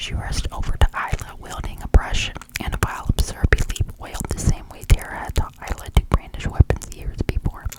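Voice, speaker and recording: A whispered voice at a moderate pace, with noticeable background noise. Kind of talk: read story.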